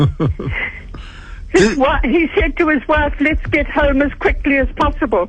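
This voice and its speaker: A fairly slow pace of speech against noticeable background noise. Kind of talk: radio call-in anecdote. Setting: phone line.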